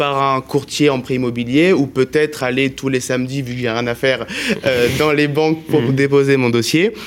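In a normal speaking voice, a man with a fairly high pitch speaks at a fairly slow pace. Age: 20s. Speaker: student radio host. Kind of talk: casual interview; role play.

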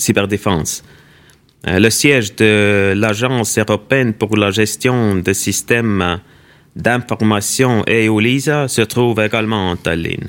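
Speaking in an Estonian accent at a very slow pace, the voice keeps very even loudness and ordinary pitch variation. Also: man, fairly low pitch for a man. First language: Estonian (speaking French). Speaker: ambassador. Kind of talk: interview. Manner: halting.

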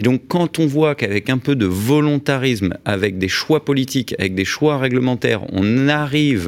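With lively intonation, a man uses a normal speaking voice at a medium pitch and a fairly slow pace. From Paris, France. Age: 40s. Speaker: business leader. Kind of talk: radio interview. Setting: radio studio.

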